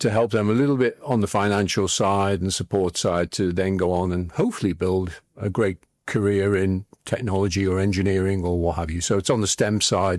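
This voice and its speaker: Speaking in a Liverpool accent, a man with a fairly low pitch keeps a fairly quick pace and fairly even intonation, with hardly any pauses. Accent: Liverpool (Scouse). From northern England, Liverpool. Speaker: former tech executive and investor. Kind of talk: interview. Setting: studio.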